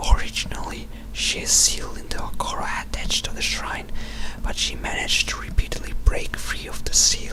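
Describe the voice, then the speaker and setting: A man whispers at a moderate pace. Noticeable background noise sits behind him. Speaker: ASMR video creator reading a wiki page. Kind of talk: wiki page reading, ASMR. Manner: whispered.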